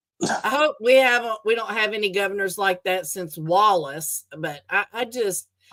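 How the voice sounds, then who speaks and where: A woman has a bright, sharp tone. She speaks at a moderate pace with lively intonation. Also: medium pitch for a woman. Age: 60s. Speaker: live streamer. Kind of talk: casual chat. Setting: livestream.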